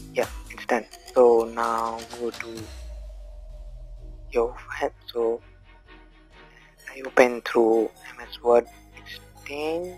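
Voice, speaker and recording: Long, frequent pauses break up the speech while music plays in the background. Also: man, medium pitch for a man. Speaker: tech tutorial YouTuber. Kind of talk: screen-recorded tech tutorial.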